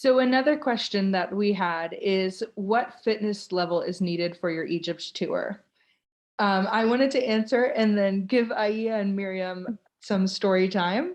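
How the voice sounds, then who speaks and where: A woman with a normal speaking voice talks at a medium pitch with ordinary pitch variation. The background is quiet. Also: fairly slow pace. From Florida, US. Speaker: tour ambassador. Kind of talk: live Q&A webinar.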